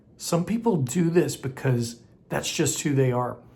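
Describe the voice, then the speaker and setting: A male speaker's pitch varies in an ordinary way. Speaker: acting coach for creatives. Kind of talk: tutorial. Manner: loud.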